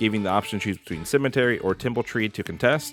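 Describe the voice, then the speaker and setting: With music in the background, a man speaks at a very fast pace in a fairly low pitch with ordinary pitch variation. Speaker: game streamer. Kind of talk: game guide voice-over.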